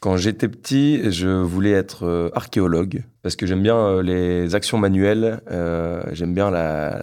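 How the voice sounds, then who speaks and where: At a moderate pace with ordinary pitch variation, the voice comes through in a very clean recording with a silent background. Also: man. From northern France (Lille). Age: 20s. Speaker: engineer and entrepreneur. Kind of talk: interview testimony. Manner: hesitant, many fillers and repetitions.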